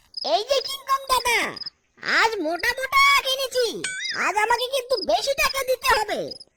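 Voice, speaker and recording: The pitch is extremely high in this cartoonish character voice. Its pace is moderate. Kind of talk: comic cartoon acting. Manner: cheeky, boastful.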